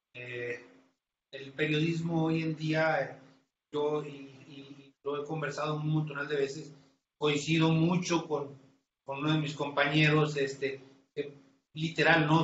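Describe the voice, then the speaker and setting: A man speaks at a very slow pace and a fairly high pitch. Long, frequent pauses and audible room echo are present. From Tamaulipas, northern Mexico. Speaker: crime reporter. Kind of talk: interview.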